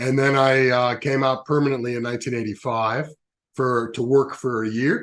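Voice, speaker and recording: Speaking at a moderate pace with an American accent, a man holds a medium pitch in a monotone, flat intonation. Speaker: education business CEO. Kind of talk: interview. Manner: halting.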